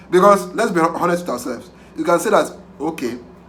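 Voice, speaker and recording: Fairly high in pitch, a man talks at a moderate pace. Audible room echo and noticeable background noise surround him. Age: young. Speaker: pig farmer. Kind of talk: tutorial. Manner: halting; animated.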